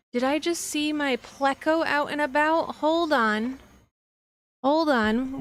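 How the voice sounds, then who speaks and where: A soft-spoken woman's voice, high in pitch, very slow, with very even loudness and ordinary pitch variation. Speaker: livestreamer. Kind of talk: casual livestream chat. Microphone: quiet mic level, boosted.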